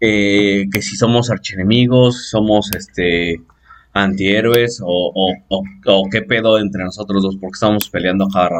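Over music in the background, a man speaks fairly slowly at a fairly low pitch with fairly even intonation. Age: 20s. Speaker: podcast host. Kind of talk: casual chat. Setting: home-made studio.

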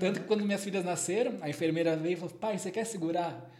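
A man talks at a very fast pace with lively intonation. Noticeable background noise is present. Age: 30s. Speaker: psychologist. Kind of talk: casual chat.

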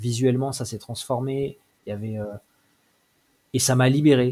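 In a very clean recording with a silent background, a man speaks at a moderate pace and medium pitch, somewhat breathy, with ordinary pitch variation. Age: 40s. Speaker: manga author and small publisher. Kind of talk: interview. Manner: halting.

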